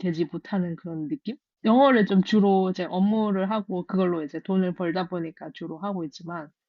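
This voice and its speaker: A woman's normal speaking voice at medium pitch, moderate pace and ordinary pitch variation. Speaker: software engineer. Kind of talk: casual chat.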